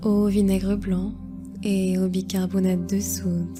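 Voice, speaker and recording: A woman speaks in a calm, soothing tone. Music plays in the background. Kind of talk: guided meditation narration.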